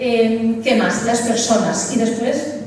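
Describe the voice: A woman speaks slowly at a fairly high pitch, her slightly mellow tone carrying audible room echo. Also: ordinary pitch variation.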